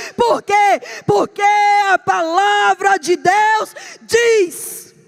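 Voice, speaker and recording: Shouting in a Pernambuco accent, a woman sounds animated at an extremely high pitch, dry and close with no echo, over noticeable background noise. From Brazil, Pernambuco. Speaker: preacher. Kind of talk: sermon.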